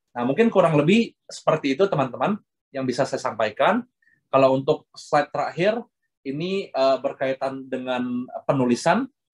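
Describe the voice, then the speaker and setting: Speaking at a moderate pace, a man sounds somewhat breathy with lively intonation, in a dry, close sound with no echo. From Indonesia. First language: Hokkien (speaking Indonesian). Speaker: guest lecturer. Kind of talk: lecture. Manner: fluent, unbroken delivery.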